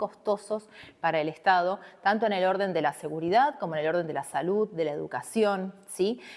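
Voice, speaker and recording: The speaker is a woman at a medium pitch. Her voice moves up and down in an ordinary way. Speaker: university lecturer. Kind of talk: recorded online lecture. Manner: fast; conversational.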